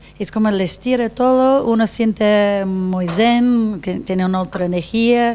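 A woman's fairly high, dark and mellow voice at a fairly slow pace, with ordinary pitch variation, hardly any pauses and light background noise. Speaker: hotel representative; talk show guest. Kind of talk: casual chat. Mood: calm, relaxed. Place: home room. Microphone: handheld.

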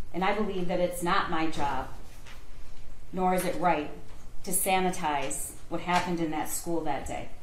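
Over light background noise and audible room echo, a woman with a fairly low voice speaks at a moderate pace with fairly even intonation and long, frequent pauses. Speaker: prosecutor. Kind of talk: courtroom closing argument to a jury. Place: hall.

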